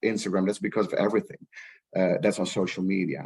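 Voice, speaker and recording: A man speaks at a fairly quick pace. He has a Dutch accent. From Netherlands. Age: 40s. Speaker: rights professional. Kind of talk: panel discussion. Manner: halting, many repetitions.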